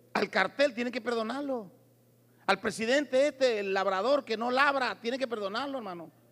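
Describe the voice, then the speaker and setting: This man's pitch is extremely high, with ordinary pitch variation. His tone is animated and his pace moderate. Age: 60s. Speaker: preacher. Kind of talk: sermon. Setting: church.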